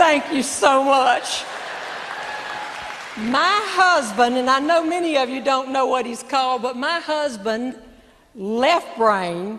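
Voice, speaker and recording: A high-pitched woman speaks at a very slow pace with lively intonation and long, frequent pauses. Crowd noise sits in the background, and the room echo is audible. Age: 60s. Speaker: comedian. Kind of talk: stand-up. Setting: stage with audience.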